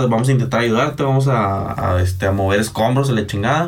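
Amid noticeable background noise and audible room echo, a man talks at a fairly quick pace in a fairly low pitch with ordinary pitch variation. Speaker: podcast co-host. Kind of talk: casual chat. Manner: animated.

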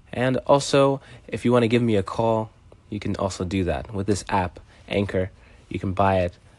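Using an unremarkable speaking voice, a man speaks at a moderate pace with a fairly low pitch and ordinary pitch variation. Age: 20s. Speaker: podcast host and street violinist. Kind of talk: solo podcast monologue.

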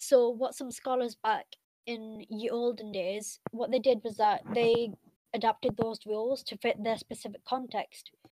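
A woman's fairly high-pitched, monotone, flat delivery in a dry, close sound with no echo. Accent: Mancunian. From Manchester area, England, of Pakistani Pashtun heritage. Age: 20s. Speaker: university religion student and Islamic scholar. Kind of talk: casual interview chat.

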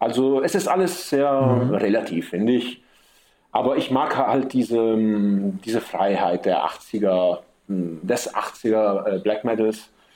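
With an Italian accent, a man speaks at a very slow pace and medium pitch, with lively intonation and very even loudness. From Sicily, Messina. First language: Italian (bilingual with German) (speaking German). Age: 30s. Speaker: metal drummer. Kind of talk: interview.

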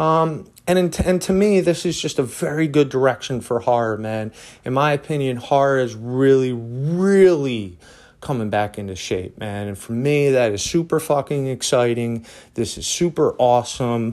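In a very clean recording with a silent background, a man with an American accent talks at a moderate pace, his medium-pitched voice carrying lively intonation. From Philadelphia. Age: 30s. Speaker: podcast host. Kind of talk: casual monologue. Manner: casual, many fillers.

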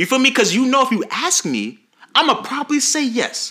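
Speaking in an American accent, a man uses a raised, projected voice at an extremely high pitch, with lively intonation and a very fast pace. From US South (Jacksonville, Florida). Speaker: nonprofit founder and mentor. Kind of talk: casual chat.

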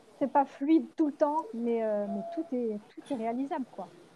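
Her voice is high-pitched with a dark, mellow tone, and she speaks at a very slow pace with lively intonation. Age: 40s. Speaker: mother living aboard a sailboat. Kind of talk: casual interview conversation. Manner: halting, many fillers and repetitions.

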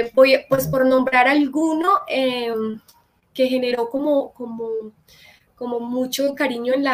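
Her pitch is high for a woman, and this woman talks at a fairly slow pace with ordinary pitch variation. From Colombia, Medellín. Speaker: actress and psychologist. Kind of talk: live-stream interview.

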